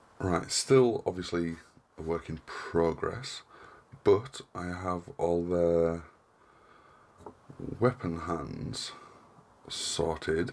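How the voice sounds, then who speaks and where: A man with a northern English accent speaks in a very deep, low pitch and a relaxed tone. He goes at a very slow pace with long, frequent pauses. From northern England. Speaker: hobby crafting YouTuber. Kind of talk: casual tutorial vlog. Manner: monotone; relaxed, hesitant with fillers.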